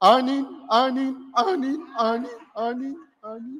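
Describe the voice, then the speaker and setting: A female-sounding voice puts on a character voice at a high pitch. The pace is moderate. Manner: honking, goose-like.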